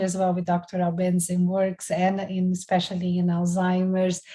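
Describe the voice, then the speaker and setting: This woman's voice is somewhat breathy, medium in pitch, and dark and mellow in tone. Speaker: professor. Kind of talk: lecture.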